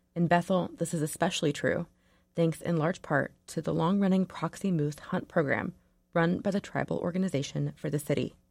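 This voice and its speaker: A woman's fairly low voice with vocal fry, fairly quick and fairly even in intonation, on a very clean recording with a silent background. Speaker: radio newsreader. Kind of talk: newsreading, crisp broadcast read. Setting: radio studio. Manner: formal, even-paced, clear.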